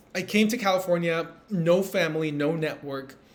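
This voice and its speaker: A fairly high-pitched man with a Spanish accent, plus audible room echo. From Peru. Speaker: entrepreneur and speaker. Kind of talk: recorded motivational talk.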